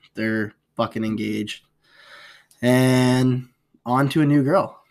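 A man with an American accent, medium in pitch, very slow in pace, with ordinary pitch variation. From outside the US. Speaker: podcast co-host. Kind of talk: casual chat.

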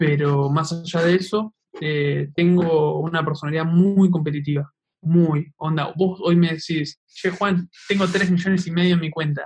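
Speaking fairly slowly in a flat monotone, a man uses a high pitch. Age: 20s. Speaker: meme page creator. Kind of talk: casual interview chat.

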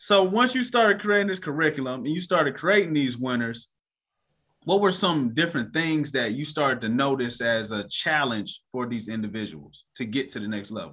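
In a very clean recording with a silent background, a man with a fairly high pitch and a bright, sharp tone speaks at a moderate pace with very wide pitch swings. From United States. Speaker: podcast host. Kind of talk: casual interview.

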